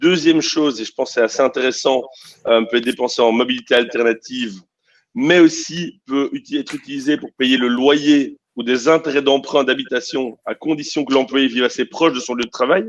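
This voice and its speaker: Dry and close with no echo, a man with a Belgian accent speaks at fairly high pitch and a moderate pace. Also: ordinary pitch variation. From Belgium. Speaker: startup CEO. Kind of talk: panel discussion.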